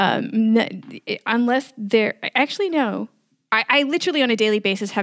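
A woman with a New York accent speaks at a fairly quick pace, her fairly high pitch showing ordinary variation. The recording is very clean with a silent background and a dry, close sound with no echo. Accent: New York American. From US, New York City. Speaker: podcast producer and editor community founder. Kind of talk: interview conversation.

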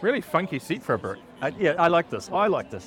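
Music plays in the background as a man with a New Zealand accent talks at a moderate pace. His pitch swings very widely. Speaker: EV podcast co-host. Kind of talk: casual walkaround commentary. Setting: busy expo hall. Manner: animated.

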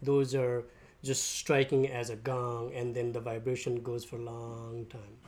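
At a fairly slow pace, a man speaks with flat, monotone intonation. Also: medium pitch for a man. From Nepal. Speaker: shop owner and sound healing teacher. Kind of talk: interview.

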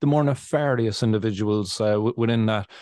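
A man in an Irish accent speaks at a fairly quick pace and medium pitch with ordinary pitch variation, in a dry, close sound with no echo. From Ireland. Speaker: cannabis podcast host. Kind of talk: casual interview.

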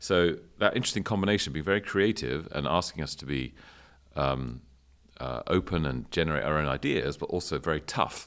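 Speaking at a fairly quick pace, a man with a very deep, low pitch, vocal fry and lively intonation comes through on a very clean recording with a silent background. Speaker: university dean. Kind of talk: interview conversation.

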